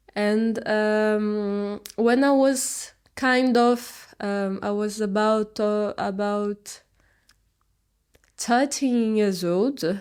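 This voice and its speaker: Woman with a fairly high pitch and fairly even intonation at a very slow pace, in a very clean recording with a silent background. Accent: Brazilian Portuguese. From Brazil. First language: Brazilian Portuguese. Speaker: artist and gardener, vlogger. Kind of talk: casual vlog monologue. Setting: talking to camera. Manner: halting, many fillers.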